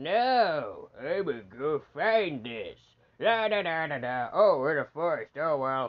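This is a put-on character voice pitched in the middle range. It moves at a fairly slow pace. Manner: gruff, singsong mocking.

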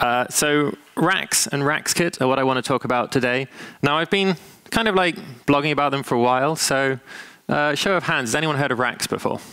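At a fairly quick pace, a man speaks with a clear, smooth tone that is also bright and sharp, using ordinary pitch variation.

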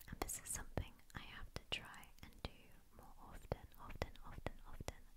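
The speaker is a woman, and she whispers. She keeps a fairly slow pace. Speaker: ASMR creator. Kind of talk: ASMR fact reading. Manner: repetitive triggers, soft-spoken. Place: home room. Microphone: studio mic.

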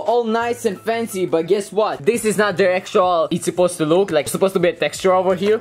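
Barely pausing, a man with a high pitch speaks at a very fast pace with ordinary pitch variation. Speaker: vlogger. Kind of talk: casual vlog chat. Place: home room. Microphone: phone near.

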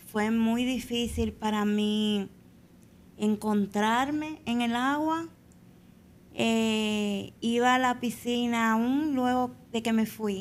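Speaking at a very slow pace, a woman keeps her loudness very even and her intonation fairly even. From Dominican Republic, Azua; Dominican Republic. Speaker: Paralympic swimmer; podcast guest. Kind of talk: interview. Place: studio. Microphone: studio mic.

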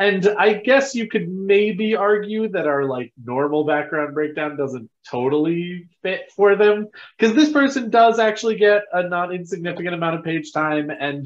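This man talks at a moderate pace in a high voice. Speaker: podcast host. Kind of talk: podcast introduction chat. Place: home room.

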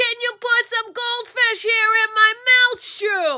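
A cartoonish character voice with extremely high pitch, at a fairly slow pace. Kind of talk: puppet show.

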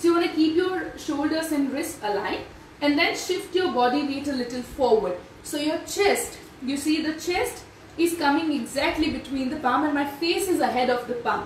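A woman speaks at a high pitch. Audible room echo and light background noise surround her voice. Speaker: yoga instructor. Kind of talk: tutorial. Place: home room. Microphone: camera far.

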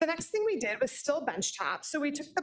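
Over a quiet background, a woman speaks with lively intonation. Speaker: foot and ankle surgeon; presenter. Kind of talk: lecture. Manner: fast talker. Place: hall. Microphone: podium.

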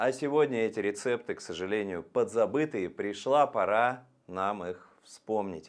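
Against a quiet background, a man speaks at a fairly slow pace with lively intonation. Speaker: presenter. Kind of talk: lecture. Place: studio. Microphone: lapel.

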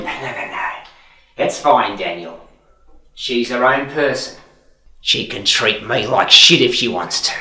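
Under a slight echo, the voice takes a menacing tone with lively intonation, moving at a fairly slow pace with long, frequent pauses. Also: man, medium pitch for a man. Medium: short film. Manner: mocking, calmly menacing.

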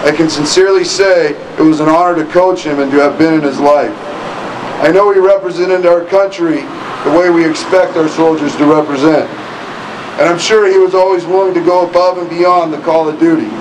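Noticeable background noise accompanies a man who speaks at a fairly quick pace in a high pitch with monotone, flat intonation. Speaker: former football coach giving a tribute. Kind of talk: memorial speech. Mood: solemn, emotional. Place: street. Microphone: podium.

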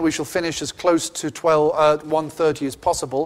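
A man speaks with an English accent. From England. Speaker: event host. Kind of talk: formal introduction. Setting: lecture hall with audience. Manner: formal. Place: hall.

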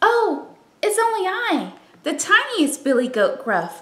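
A woman puts on a character voice at an extremely high pitch. Her pace is fairly slow. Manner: timid.

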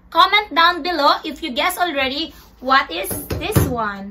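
With a Visayan Filipino accent, the speaker uses a raised, projected voice and lively intonation. The pace is fairly slow, and light background noise can be heard. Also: woman. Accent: Filipino (Cebuano) English. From Philippines, Cebu; Philippines. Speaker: vlogger. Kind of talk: casual unboxing vlog. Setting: home bedroom. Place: home room. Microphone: phone near.

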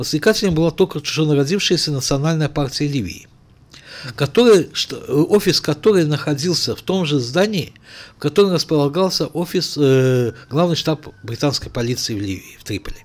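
A man talks at a moderate pace with a fairly high pitch. His intonation is lively. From Azerbaijan, Baku; Azerbaijan. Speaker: writer and journalist; journalist guest. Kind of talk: studio interview. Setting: studio. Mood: serious historical account. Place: studio. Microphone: studio mic.

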